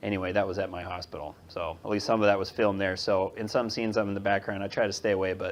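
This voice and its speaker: A man is talking. His pace is very fast. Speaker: podiatrist. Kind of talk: lecture. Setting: audience of nurses, filmed.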